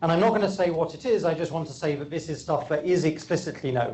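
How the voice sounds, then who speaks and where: In a room with audible echo, a man with an English accent and fairly high pitch speaks at a very fast pace. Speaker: physicist. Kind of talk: lecture. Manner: frequent fillers and repetitions.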